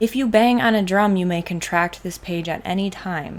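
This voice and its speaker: A woman with a Wisconsin accent speaks at a fairly slow pace in a medium pitch. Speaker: trading card content creator. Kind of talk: card spoiler review, casual video. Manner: enthusiastic.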